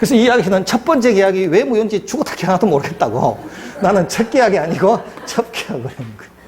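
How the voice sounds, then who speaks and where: A man with a Gyeongsang accent talks at a very fast pace through noticeable background noise. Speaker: law lecturer. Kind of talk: lecture.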